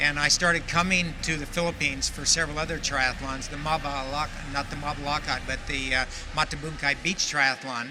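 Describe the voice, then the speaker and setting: A man with a fairly high pitch talks at a fairly quick pace in a monotone, flat way, with noticeable background noise. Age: 70s. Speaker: veteran triathlete and tennis coach. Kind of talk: interview testimony.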